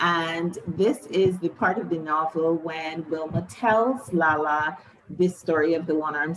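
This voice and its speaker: Over noticeable background noise, a woman speaks at a fairly slow pace in a fairly low pitch with ordinary pitch variation. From Barbados. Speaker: novelist. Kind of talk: interview with reading aloud.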